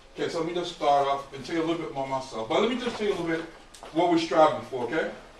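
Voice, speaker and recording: Man's voice with ordinary pitch variation, audible room echo and noticeable background noise. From US Virgin Islands (St. Croix), born in Brooklyn, New York. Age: 50s. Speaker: mentor and realtor speaking to students. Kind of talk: motivational talk to high school class. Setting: classroom with students. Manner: casual, conversational.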